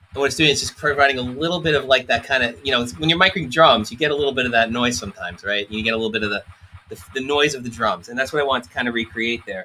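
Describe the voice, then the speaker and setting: Over noticeable background noise, a man with an American accent speaks very fast at medium pitch with ordinary pitch variation. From New York. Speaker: product specialist demonstrating synths. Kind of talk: live stream tutorial. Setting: studio.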